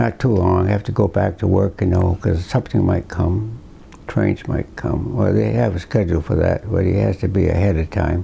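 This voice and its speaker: A man's very deep, low voice at a fairly quick pace, lively in intonation and very even in loudness, with noticeable background noise. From Slocum, Rhode Island. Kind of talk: interview answer. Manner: hesitant, reminiscing.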